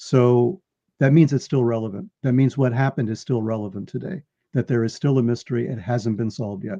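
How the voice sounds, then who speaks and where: A man's medium-pitched voice with an American accent, dark and mellow in tone, at a fairly quick pace with ordinary pitch variation, in a dry, close sound with no echo. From New York. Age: 70s. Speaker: author and researcher. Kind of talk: interview. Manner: repetitive, stammering starts.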